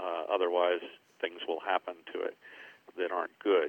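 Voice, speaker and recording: In an American accent, the man speaks with a very deep, low voice. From Southern California. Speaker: golf course architect. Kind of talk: interview. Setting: phone call. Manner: hesitant, many fillers and repeated words.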